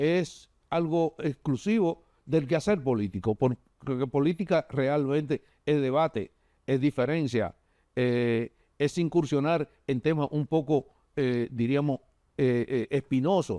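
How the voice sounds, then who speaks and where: In a dark, mellow tone, a man talks at a fairly slow pace with long, frequent pauses, ordinary pitch variation and very even loudness. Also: dry, close sound with no echo. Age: 70s. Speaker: politician. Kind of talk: TV interview. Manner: halting, many fillers.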